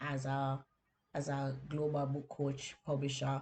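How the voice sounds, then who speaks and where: A woman speaks with a Jamaican accent. Her voice is very deep and low, and somewhat breathy. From Jamaica, Kingston inner city. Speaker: podcast host and book coach. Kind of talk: personal story on a podcast. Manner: conversational, with fillers.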